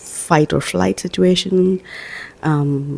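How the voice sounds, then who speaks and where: Soft-spoken and very slow, a woman talks in a very deep, low voice over noticeable background noise. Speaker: self-help vlogger. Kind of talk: casual inspirational talk. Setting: at home, early morning. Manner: soft-spoken, quiet; hesitant, many fillers.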